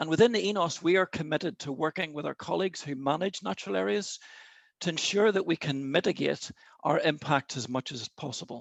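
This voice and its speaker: This man has an Irish accent and a fairly high pitch. He speaks at a fairly quick pace with lively intonation. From Ireland. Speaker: chairman of an outdoor sports network, webinar host. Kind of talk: webinar opening address. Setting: video call.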